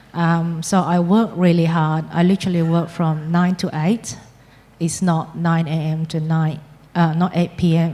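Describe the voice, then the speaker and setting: A woman with a non-native accent speaks fairly slowly at a fairly low pitch, her intonation monotone and flat and her loudness very even. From Malaysia. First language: not English. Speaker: property investor. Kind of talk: on-stage interview. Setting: stage with audience.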